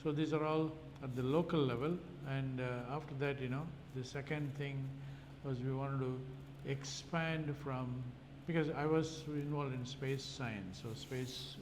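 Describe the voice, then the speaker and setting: Fairly high male voice at a moderate pace with fairly even intonation, with audible room echo and noticeable background noise. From India. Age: 70s. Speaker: microbiologist. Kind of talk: interview. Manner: halting, many fillers.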